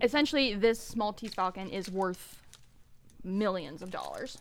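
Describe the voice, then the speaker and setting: With a General American accent, a woman speaks at medium pitch with ordinary pitch variation on a very clean recording with a silent background. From San Francisco Bay Area. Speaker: movie podcast host. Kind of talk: casual chat. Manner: fast talker.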